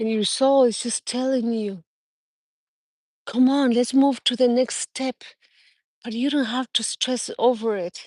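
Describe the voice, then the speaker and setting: Speaking with a non-native accent, a woman with a high pitch keeps a fairly even intonation at a fairly slow pace, with long, frequent pauses and a dry, close sound with no echo. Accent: non-native, won't go away. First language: Spanish. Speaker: spiritual life coach. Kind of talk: livestream motivational talk. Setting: livestream. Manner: earnest, unscripted.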